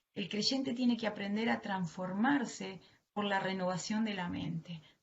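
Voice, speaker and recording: A woman speaks at a fairly slow pace with a strong Argentine accent. Her medium-pitched voice is somewhat breathy, with ordinary pitch variation. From Argentina. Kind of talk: sermon. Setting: video call.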